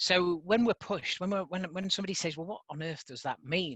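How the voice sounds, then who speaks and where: Against a quiet background, the speaker talks with a northern English accent. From northern England, mining communities. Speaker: conference speaker, impact measurement organization staff. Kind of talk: conference presentation. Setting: online conference call. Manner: hesitant fillers, frequent um.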